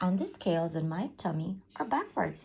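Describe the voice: Putting on a character voice, a woman speaks at a moderate pace, fairly low with a husky, rough edge and vocal fry. Her pitch swings widely, and her tone is slightly mellow.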